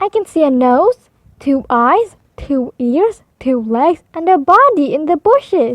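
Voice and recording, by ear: A woman uses a put-on character voice, high in pitch with big swings. She speaks slowly, and the sound is dry and close with no echo.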